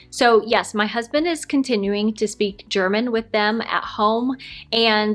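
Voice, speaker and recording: A woman's fairly high voice with an American accent, a plain, everyday voice with ordinary pitch variation. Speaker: lifestyle vlogger. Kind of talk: casual Q&A chat.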